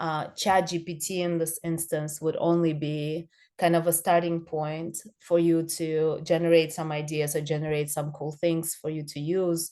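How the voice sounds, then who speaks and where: A dark, mellow tone with a non-native accent, monotone, flat intonation and a moderate pace over a quiet background. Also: woman, fairly low pitch for a woman. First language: not English. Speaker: social media consultant for realtors. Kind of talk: online training presentation. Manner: halting, many fillers.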